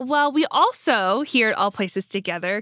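A woman with an unremarkable speaking voice talks at a moderate pace and medium pitch, in a very clean recording with a silent background and a dry, close sound with no echo. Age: 30s. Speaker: pastor and podcast host. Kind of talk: casual interview conversation.

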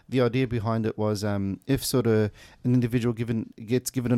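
Recorded very cleanly against silence, a man with an Australian accent speaks fairly quickly in a dark, mellow tone with fairly even intonation, the sound dry and close with no echo. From Kuwait, then Melbourne from late 1990s. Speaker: youth justice project coordinator. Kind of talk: radio interview. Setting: radio studio. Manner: hesitant, many fillers.

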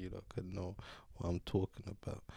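Speaking fairly quickly in a London accent, a man has a very deep, low voice with monotone, flat intonation. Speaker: podcast guest. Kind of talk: casual chat. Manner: joking.

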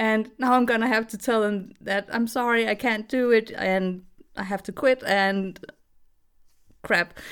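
A woman with a fairly high voice talks at a fairly slow pace, with fairly even intonation and long, frequent pauses. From Denmark. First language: Danish. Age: 30s. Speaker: voice actress. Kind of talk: casual interview. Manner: hesitant, many fillers; giggly, laughs often.

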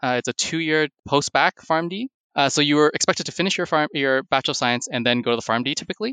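A man with a Canadian accent speaks at a very fast pace in a fairly high pitch, his bright, sharp tone carrying ordinary pitch variation in a dry, close recording with no echo. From Canada, Toronto. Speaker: hospital informatics pharmacist. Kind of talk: interview.

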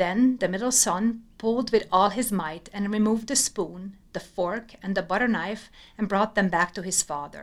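A woman with a plain, everyday voice, medium pitch, ordinary pitch variation, a moderate pace and hardly any pauses. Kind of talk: scripted fairy-tale narration. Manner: measured, storytelling cadence.

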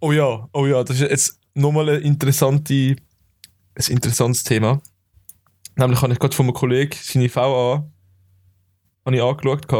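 Dark and mellow in tone, a man's medium-pitched voice stays monotone and flat, with very even loudness. He keeps a moderate pace but leaves long, frequent pauses. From Switzerland, Zurich area (Kloten). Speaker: podcast co-host. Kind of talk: casual chat.

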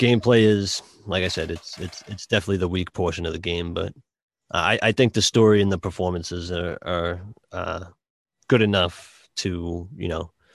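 In a Boston accent, a man with a very deep, low pitch speaks at a moderate pace with fairly even intonation, on a very clean recording with a silent background.

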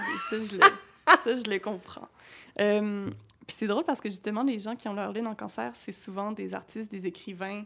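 Big swings in loudness mark this bright, sharp delivery at a moderate pace with ordinary pitch variation. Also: woman, medium pitch for a woman. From Quebec City. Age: 20s. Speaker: podcast host, astrologer. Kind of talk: casual interview.

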